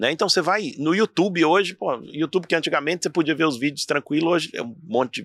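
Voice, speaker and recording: Against a quiet background, a man speaks very fast at a fairly high pitch with lively intonation and vocal fry. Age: 40s. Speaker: entrepreneur and motivational speaker. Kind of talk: casual interview chat. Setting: in person at his institute.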